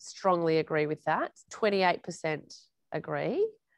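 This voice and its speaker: This woman has an Australian accent. Her audio is dry and close, without any echo. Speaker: journalist moderating a panel. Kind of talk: moderated panel discussion. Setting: video call.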